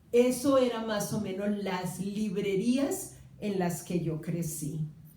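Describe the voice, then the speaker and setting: Over noticeable background noise and audible room echo, a woman speaks very slowly at a medium pitch with ordinary pitch variation. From Colombia, Cali. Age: 60s. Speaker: writer's sister speaking about his reading. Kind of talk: public talk with audience. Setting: small theatre with live audience. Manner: hesitant, many fillers.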